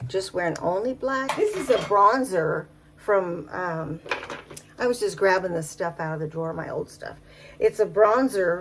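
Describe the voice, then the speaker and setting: A woman's medium-pitched voice at a fairly slow pace, with lively intonation, big swings in loudness and noticeable background noise. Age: 70s. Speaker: makeup vlogger. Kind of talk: casual talk to camera. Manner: chatty, rambling.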